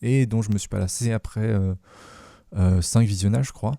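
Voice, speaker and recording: At a moderate pace, a man with a fairly low pitch and a dark, mellow tone speaks in a very clean recording over a silent background. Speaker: podcast host. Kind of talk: casual chat. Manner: halting.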